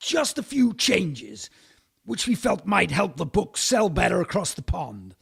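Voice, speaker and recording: A man puts on a raspy, high-pitched character voice. He keeps to a moderate pace. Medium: comedy sketch. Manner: eager, pushy, crass.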